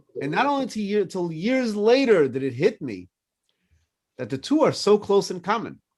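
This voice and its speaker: The recording is very clean, with a silent background. A man with a high pitch speaks at a moderate pace, his pitch swinging very widely. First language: French. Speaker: rabbi. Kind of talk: casual chat.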